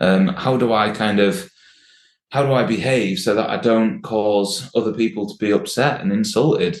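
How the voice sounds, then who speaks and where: With a Yorkshire accent, a man talks at a moderate pace and medium pitch with ordinary pitch variation. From Yorkshire, northern England. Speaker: workplace well-being specialist. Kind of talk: casual chat.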